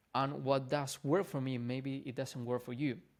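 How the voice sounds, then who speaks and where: A man with a non-native accent and fairly high pitch is heard in a very clean recording with a silent background. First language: not English. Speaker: fitness and mindset coach. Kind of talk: casual vlog talk to camera. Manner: casual, informal.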